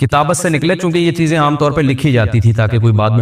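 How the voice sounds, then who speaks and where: Using lively intonation, a man talks in an unremarkable speaking voice. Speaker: Islamic scholar. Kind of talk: religious sermon (bayan). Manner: explanatory, conversational, fluent.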